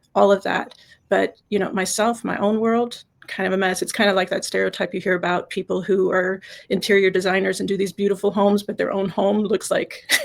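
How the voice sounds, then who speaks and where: A woman's flat, monotone intonation at a fairly quick pace. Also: medium pitch for a woman. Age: 60s. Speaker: life coach. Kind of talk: interview. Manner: halting.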